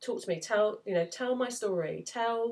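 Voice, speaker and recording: The recording is very clean with a silent background, and the speech moves at a moderate pace with ordinary pitch variation. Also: woman. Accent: English. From England. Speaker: novelist. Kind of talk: casual talk to camera. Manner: hesitant, lots of fillers.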